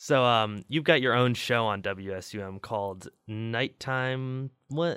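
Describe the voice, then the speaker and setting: A man with a medium pitch speaks in an American accent at a very slow pace. He uses ordinary pitch variation and hardly any pauses. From Chicago. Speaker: college radio host. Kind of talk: casual interview chat; radio announcement.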